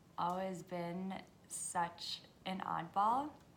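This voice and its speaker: Audible room echo surrounds a woman speaking at medium pitch in a monotone, flat intonation. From US, Washington DC area (born in Hungary). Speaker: vlogger. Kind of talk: casual monologue.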